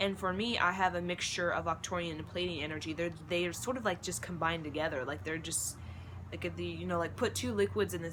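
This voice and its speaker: This woman talks at a fairly quick pace with a very deep, low pitch. Her pitch swings very widely, and room echo is audible. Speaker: spiritual vlogger. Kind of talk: monologue to camera. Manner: fast.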